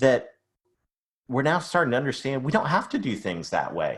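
Speaking with an American accent, a man has a medium pitch. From Canada, Ontario. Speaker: sales and marketing consultant. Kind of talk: podcast interview.

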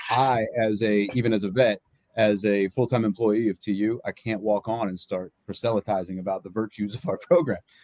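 A man speaks at a moderate pace with hardly any pauses. His intonation is fairly even, and the sound is dry and close with no echo. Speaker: college football coach. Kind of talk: interview.

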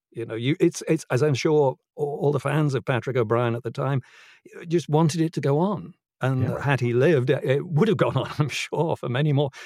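With a British accent, this somewhat breathy voice talks at a fairly quick pace and has ordinary pitch variation. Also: man, fairly high pitch for a man. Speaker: audiobook narrator and actor. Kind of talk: casual interview chat.

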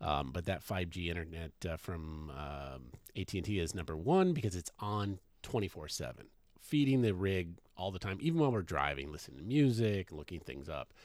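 On a very clean recording with a silent background, a man with an American accent talks fairly quickly in a very deep, low pitch with lively intonation. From Washington State. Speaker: podcast co-host, full-time RVer. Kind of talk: casual chat. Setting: in an RV. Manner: loud.

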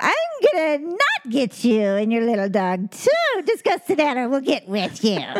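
In a put-on character voice, the speaker goes at a moderate pace with hardly any pauses, pitch high and swinging very widely. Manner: cackling, threatening.

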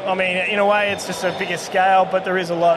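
A man's high voice carries audible room echo, with noticeable background noise behind it. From rural northern Victoria, Australia. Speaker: brewer. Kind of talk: casual chat. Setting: outdoors.

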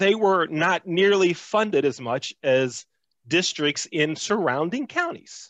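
A man's high-pitched voice at a very slow pace, with lively intonation, very even loudness, and a dry, close sound with no echo. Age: 50s. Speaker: race relations trainer. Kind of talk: casual chat. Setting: studio.

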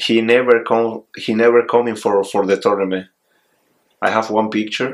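The speaker has a Venezuelan accent and a moderate pace. The intonation stays flat and monotone. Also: man, medium pitch for a man. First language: Spanish. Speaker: volleyball player. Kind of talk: casual interview. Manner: halting.

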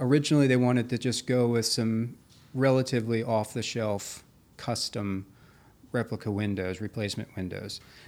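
In a normal speaking voice, a man with an American accent speaks at a moderate pace and medium pitch with ordinary pitch variation, on a very clean recording with a silent background. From Maryland, Carroll County. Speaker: preservation carpenter. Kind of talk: interview. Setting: studio.

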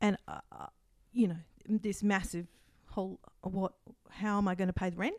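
Pausing long and often, a woman speaks at a moderate pace and medium pitch in a monotone, flat way, the sound dry and close with no echo. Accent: Australian. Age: 40s. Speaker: counselling psychologist and outgoing podcast host. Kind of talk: personal testimony in interview. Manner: halting, frequent restarts and fillers; laughs often.

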